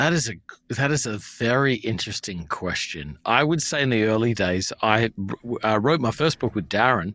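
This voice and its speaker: Bright, sharp tone from a man with an Australian accent, medium pitch, moderate pace and lively intonation, on a very clean recording with a silent background. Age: 40s. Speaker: pastor. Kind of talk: casual chat.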